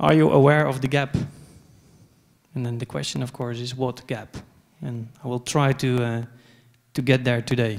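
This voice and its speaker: Pausing long and often, a man with a Dutch accent speaks at a medium pitch with ordinary pitch variation. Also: moderate pace. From Netherlands. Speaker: conference speaker, software company co-founder. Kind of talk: conference talk. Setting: stage with audience. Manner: hesitant, many fillers.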